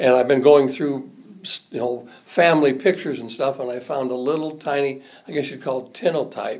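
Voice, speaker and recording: A man with a Midwestern US accent, a fairly high pitch, fairly even intonation, a fairly quick pace and big swings in loudness. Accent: US Midwest. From Indiana, South Bend. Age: 70s. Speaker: retired state legislator. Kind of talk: oral history interview. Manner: halting.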